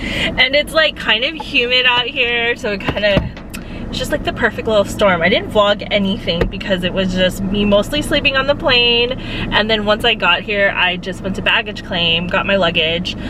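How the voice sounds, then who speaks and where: Lively intonation and hardly any pauses mark this moderately paced speech, heard over noticeable background noise. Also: woman, medium pitch for a woman. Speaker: travel respiratory therapist and vlogger. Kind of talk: casual vlog. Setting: airport and rental car.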